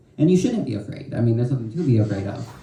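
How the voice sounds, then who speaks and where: A medium-pitched man with ordinary pitch variation, amid noticeable background noise and audible room echo. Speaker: student poet. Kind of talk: panel discussion.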